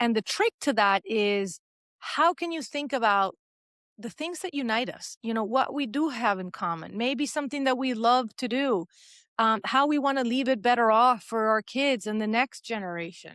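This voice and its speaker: With a Spanish accent, a woman speaks at a moderate pace and fairly high pitch with lively intonation, the sound dry and close with no echo in a very clean recording with a silent background. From Venezuela. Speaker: journalist. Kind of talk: interview conversation.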